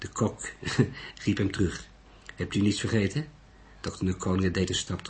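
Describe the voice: The intonation stays fairly even. It is plain reading aloud.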